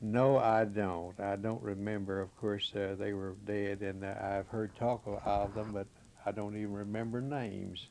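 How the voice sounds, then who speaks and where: A man with a Kentucky accent, fairly low pitch, monotone, flat intonation and a moderate pace. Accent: western Kentucky Southern US. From Kentucky, Marshall County. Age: 70s. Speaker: local resident interviewee. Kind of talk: oral history interview. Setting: his home.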